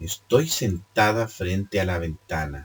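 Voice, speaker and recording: Somewhat breathy, a man speaks at a very slow pace with lively intonation. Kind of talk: read story. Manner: occasional stumbles and self-corrections.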